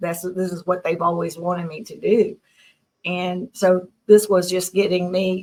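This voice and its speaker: A woman's medium-pitched voice in a Southern US accent, flat and monotone, fairly slow, with big swings in loudness. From US South, Tennessee. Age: 60s. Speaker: abduction contactee. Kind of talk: interview.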